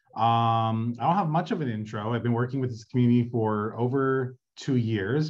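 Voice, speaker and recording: With little else audible in the background, a man keeps to a moderate pace. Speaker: city council field deputy. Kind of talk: community meeting update. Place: home room. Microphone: video call.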